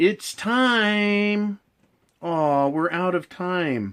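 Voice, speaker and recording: A man performs a put-on character voice at a high pitch. The recording is very clean with a silent background. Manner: condescending.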